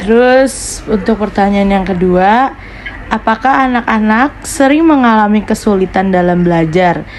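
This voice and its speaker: Over noticeable background noise, the speech moves at a fairly slow pace, with very even loudness and ordinary pitch variation. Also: woman, medium pitch for a woman. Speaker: university student interviewer. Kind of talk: interview. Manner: formal.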